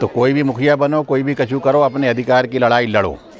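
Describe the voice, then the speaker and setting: Over noticeable background noise, a man talks at a moderate pace and a medium pitch. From India, Madhya Pradesh (Ashoknagar). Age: 60s. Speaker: politician, legislator. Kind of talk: speech to residents at a local gathering. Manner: animated.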